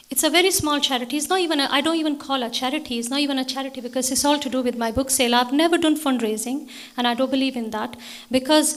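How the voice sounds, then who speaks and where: Speaking at a very fast pace, a woman with a Pakistani accent uses a high pitch and ordinary pitch variation. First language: Urdu. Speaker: author. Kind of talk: Q&A at a book launch. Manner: halting.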